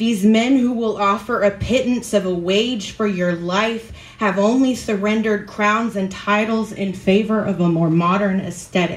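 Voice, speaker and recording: Audible room echo surrounds a woman speaking at a medium pitch. She goes at a fairly slow pace with fairly even intonation. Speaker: open mic performer. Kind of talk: spoken word poetry at an open mic, after a chatty, laughing intro. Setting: stage with audience at an open mic. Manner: formal, literary, dramatic delivery with dense imagery; conversational, self-deprecating and laughing in the intro. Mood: solemn, measured. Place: stage.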